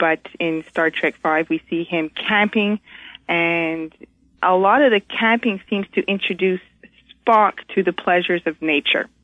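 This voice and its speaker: Here is a woman with an unremarkable speaking voice at a medium pitch. She speaks at a fairly slow pace with ordinary pitch variation. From Montreal, Canada. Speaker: caller. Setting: phone call.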